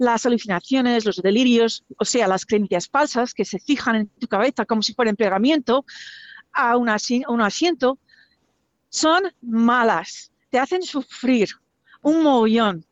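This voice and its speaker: A very slowly paced woman speaking high in her range. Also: lively intonation. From US, Virginia. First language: English (speaking Spanish). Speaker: person living with schizophrenia. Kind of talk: testimony.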